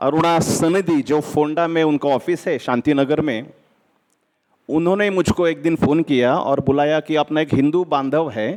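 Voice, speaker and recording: Loudness stays very even throughout, and the intonation is fairly even. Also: man, fairly high pitch for a man. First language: Marathi (speaking Hindi). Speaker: lawyer. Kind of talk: speech at an event.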